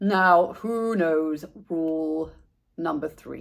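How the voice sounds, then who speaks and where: In a put-on character voice, a female-sounding speaker talks at a very slow pace and a middle pitch. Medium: read story. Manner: strict, instructive.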